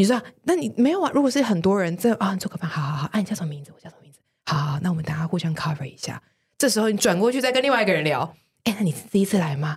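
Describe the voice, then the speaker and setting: Very fast and somewhat breathy, a woman at medium pitch speaks with very wide pitch swings. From Taiwan. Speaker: senior manager. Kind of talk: casual interview.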